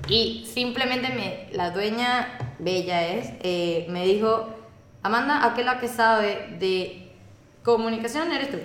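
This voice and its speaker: Very slow speech with ordinary pitch variation and audible room echo. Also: woman, fairly high pitch for a woman. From Venezuela. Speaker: communications specialist. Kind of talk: casual chat. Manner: animated.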